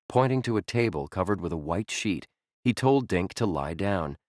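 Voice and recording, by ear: A quiet background sits behind a voice reading aloud naturally.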